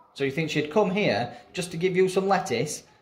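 With lively intonation, a man speaks at a moderate pace in a fairly high pitch.

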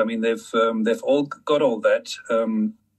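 A man is talking. Behind him, all is quiet. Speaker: filmmaker and screenwriter; conference panelist. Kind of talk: panel discussion. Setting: online audio room.

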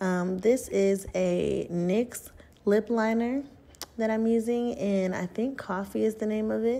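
A soft-spoken woman talks in a fairly high pitch with fairly even intonation. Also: fairly slow pace. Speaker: beauty vlogger. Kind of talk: casual talk to camera, get-ready-with-me tutorial. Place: bathroom.

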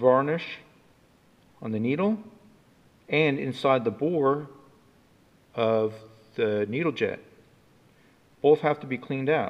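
At a fairly slow pace, a man speaks with ordinary pitch variation and long, frequent pauses. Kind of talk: tutorial. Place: workshop. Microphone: camera far.

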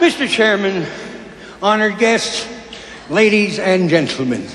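A man puts on a croaky, hoarse character voice at a high pitch and a fairly slow pace. Clear background noise and a slight echo sit behind him. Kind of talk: formal speech opening at a dinner.

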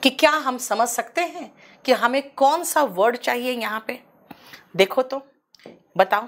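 A woman speaks at a high pitch with ordinary pitch variation, at a very slow pace. Her loudness swings widely, and long pauses come often. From India. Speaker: English teacher. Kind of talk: lecture. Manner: animated. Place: studio.

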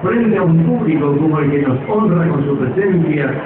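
Over noticeable background noise and audible room echo, a man speaks at a fairly slow pace in a fairly high pitch. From Argentina, Córdoba. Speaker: veteran radio announcer. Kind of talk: public speech at a festival homage. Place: stage.

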